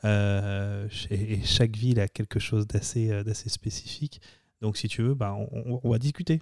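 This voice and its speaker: An ordinary speaking voice with ordinary pitch variation goes at a fairly slow pace. The recording is very clean, with a silent background and a dry, close sound with no echo. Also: man, fairly low pitch for a man. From France, Lyon. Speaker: real estate agent. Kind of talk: interview. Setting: studio.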